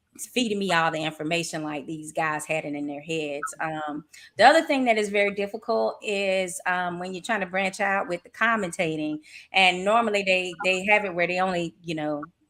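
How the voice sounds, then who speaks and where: A woman in a Southern accent at medium pitch, moderate pace and ordinary pitch variation, on a very clean recording with a silent background. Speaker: boxing commentator and writer. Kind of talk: casual chat.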